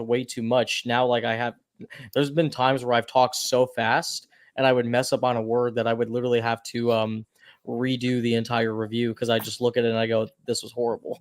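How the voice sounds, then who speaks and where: A man talks at a fairly quick pace in a monotone, flat intonation. His pitch sits in the medium range. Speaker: movie reviewer and streamer. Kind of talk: casual chat. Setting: live stream hangout. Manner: fast.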